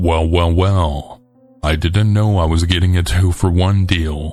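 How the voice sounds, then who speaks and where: In a put-on character voice, a man speaks quietly at a fairly slow pace, gravelly and very deep, with monotone, flat intonation. His loudness stays very even, and faint music plays in the background. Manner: quiet, sinister.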